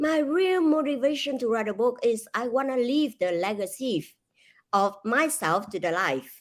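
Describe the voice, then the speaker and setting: Speaking with a Vietnamese accent, a woman uses a high voice with very wide pitch swings at a moderate pace. The recording is very clean, with a silent background. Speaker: author and speaker. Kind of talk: interview.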